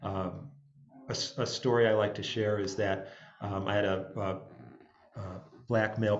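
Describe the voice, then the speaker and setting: Fairly even intonation in an upstate New York accent, with audible room echo. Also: man. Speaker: jazz musician and music director. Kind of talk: panel talk. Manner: halting, many fillers.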